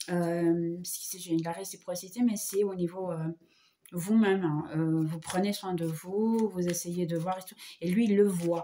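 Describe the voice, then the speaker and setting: A woman's fairly low voice at a fairly slow pace, with fairly even intonation, over noticeable background noise. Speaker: tarot reader. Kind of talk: tarot reading. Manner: hesitant, many fillers.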